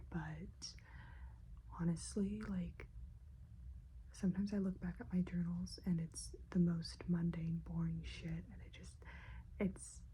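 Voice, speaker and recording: Soft-spoken and relaxed in tone, a woman talks at a fairly slow pace with long, frequent pauses. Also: big swings in loudness. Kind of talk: ASMR soft-spoken talk to camera. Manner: soft-spoken, rambling, relaxed.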